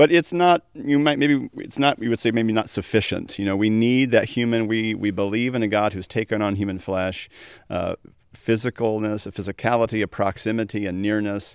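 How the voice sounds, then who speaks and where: Pitched in the middle range, a man with an unremarkable speaking voice talks at a fairly quick pace. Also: ordinary pitch variation, dry, close sound with no echo. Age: 40s. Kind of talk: casual chat.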